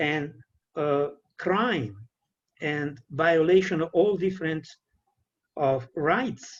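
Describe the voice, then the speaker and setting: Somewhat breathy, a man with an Italian accent talks in a fairly high pitch with ordinary pitch variation. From Italy. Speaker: peace educator and trainer. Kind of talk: lecture. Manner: halting.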